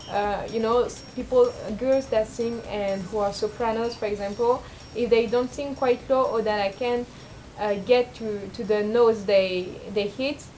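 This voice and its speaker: A woman speaks at a fairly high pitch with fairly even intonation. Noticeable background noise runs underneath. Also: moderate pace. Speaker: vlogger. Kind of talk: personal vlog monologue. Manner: casual, hesitant with fillers.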